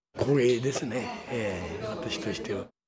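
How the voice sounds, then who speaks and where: Loud background noise surrounds a man as he talks. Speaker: nebuta float maker. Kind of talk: interview answer. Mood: pleased, modest. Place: home room.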